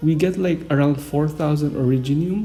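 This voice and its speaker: A non-native accent at a moderate pace. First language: not English. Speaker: gaming YouTuber. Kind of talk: casual game guide talk. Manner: hesitant, many fillers.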